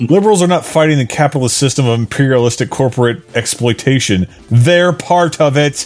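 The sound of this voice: Reading in an unforced voice.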